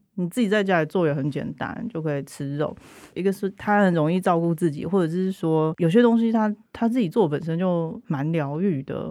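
A woman with a Taiwanese accent has a dark, mellow tone and a fairly low pitch, with ordinary pitch variation. She speaks at a moderate pace on a very clean recording with a silent background. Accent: Taiwanese Mandarin. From central Taiwan (Changhua). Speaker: writer with anthropology background. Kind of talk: casual chat.

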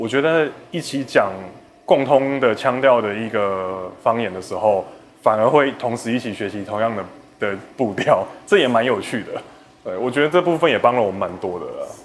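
This man has an ordinary speaking voice at medium pitch, moving at a moderate pace. His intonation is lively, and his loudness swings widely. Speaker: film director. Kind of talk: interview.

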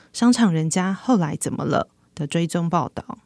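In a very clean recording with a silent background and a dry, close sound with no echo, a woman with a Taiwanese accent speaks at a moderate pace with a medium pitch, a dark, mellow tone and lively intonation. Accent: Taiwanese Mandarin. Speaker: magazine reporter hosting podcast. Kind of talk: podcast narration.

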